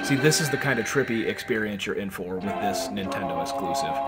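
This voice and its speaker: With music in the background and audible room echo, a man speaks at a fairly quick pace with lively intonation. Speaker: video game reviewer. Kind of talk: gameplay commentary. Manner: casual with many fillers.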